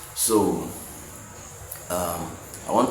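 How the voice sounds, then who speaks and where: A man with a Nigerian accent is heard with audible room echo and noticeable background noise. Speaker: motivational vlogger, software developer. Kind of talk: motivational monologue. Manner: halting, with fillers and repetitions.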